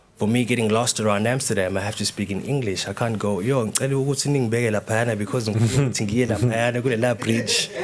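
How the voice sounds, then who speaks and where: The speech moves at a very fast pace with hardly any pauses. Noticeable background noise runs underneath. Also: man, medium pitch for a man. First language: Zulu. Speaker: dancer and choreographer. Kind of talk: panel discussion. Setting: stage with live audience. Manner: halting, many repetitions and fillers.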